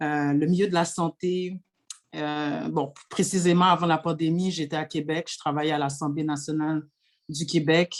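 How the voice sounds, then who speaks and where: This woman's pitch is very deep and low, with flat, monotone intonation. She talks at a fairly slow pace. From Quebec, Montreal. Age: 30s. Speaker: municipal election candidate. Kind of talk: panel presentation. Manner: hesitant, many fillers.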